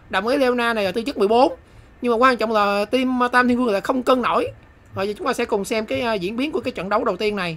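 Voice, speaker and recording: A woman with a fairly high pitch and ordinary pitch variation rushes along at a very fast pace. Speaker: gaming youtuber. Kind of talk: live game commentary, casual and comedic. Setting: solo voiceover recorded over gameplay. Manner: animated, excitable; fast, chatty, bursts of exclamation when a move lands.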